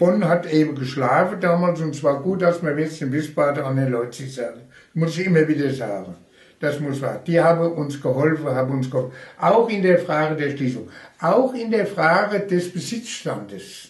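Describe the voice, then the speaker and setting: A man with a fairly high voice speaks at a moderate pace. His intonation is lively, and the room echo is audible. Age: 80s+. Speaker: retired railway union official. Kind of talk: oral history interview.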